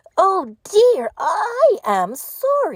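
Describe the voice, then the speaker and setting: Squeaking in a put-on character voice, a woman pitches her speech extremely high. The pitch leaps and dives over a very wide range. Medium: read story.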